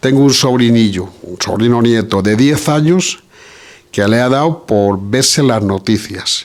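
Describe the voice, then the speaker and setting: Here a man speaks at a fairly slow pace. His pitch is medium, with ordinary pitch variation. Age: 60s. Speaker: audience member. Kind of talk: audience discussion. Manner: hesitant, many fillers.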